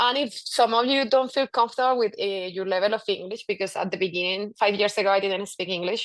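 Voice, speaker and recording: A woman with a Spanish accent and fairly even intonation. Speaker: physician. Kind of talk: presentation. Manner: halting.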